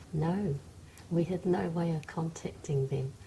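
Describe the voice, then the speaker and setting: Speaking at a fairly slow pace, a woman uses a very deep, low, somewhat breathy voice with a dark, mellow tone and ordinary pitch variation. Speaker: oral history interviewee, New Zealand-born Chinese woman. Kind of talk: interview answer. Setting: interview recording.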